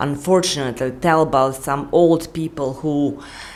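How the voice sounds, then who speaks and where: A woman with a non-native accent speaks at a fairly slow pace, her pitch rising and falling in an ordinary way. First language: not English. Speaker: YouTuber. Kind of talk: unscripted vlog monologue. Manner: rambling, halting with restarts.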